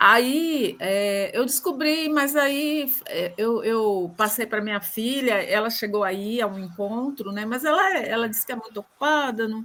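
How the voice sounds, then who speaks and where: Over noticeable background noise, a woman with a fairly high voice talks at a fairly slow pace with lively intonation and hardly any pauses. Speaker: book club participant. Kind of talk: casual group discussion.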